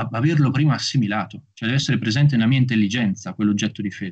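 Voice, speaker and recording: With ordinary pitch variation, a man talks at a medium pitch against a quiet background. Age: young. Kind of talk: lecture. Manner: formal. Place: home room. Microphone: video call.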